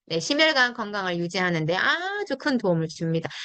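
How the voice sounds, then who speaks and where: The tone is bright and sharp. Pitch swings very widely. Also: woman. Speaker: network marketing product trainer. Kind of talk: product training talk. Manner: fast; animated.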